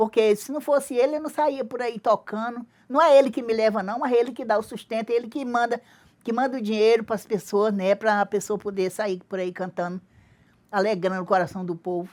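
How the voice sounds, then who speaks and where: A woman speaks at a fairly quick pace with a fairly high pitch. Her pitch varies in an ordinary way, and the recording is very clean with a silent background. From Brazil, Acre (Tarauacá, Amazon rubber-tapper family). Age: 60s. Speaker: traditional singer-songwriter. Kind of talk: interview. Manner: halting.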